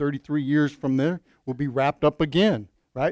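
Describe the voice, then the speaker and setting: This is a plain, everyday voice with ordinary pitch variation. The recording is very clean with a silent background, and the sound is dry and close with no echo. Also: man. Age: 50s. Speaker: pastor. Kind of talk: sermon. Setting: church.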